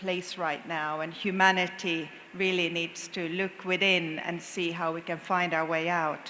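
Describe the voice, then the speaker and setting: A woman talks at a fairly slow pace in a Finnish accent. Room echo is audible around her. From Finland. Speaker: corporate sustainability executive, panel speaker. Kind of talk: conference panel talk.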